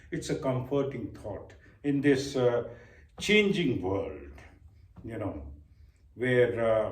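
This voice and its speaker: In a room with audible echo, a man with a medium-pitched, somewhat breathy voice speaks with lively intonation. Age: 60s. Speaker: vlogger. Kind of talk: reflective monologue. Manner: hesitant, with filler words.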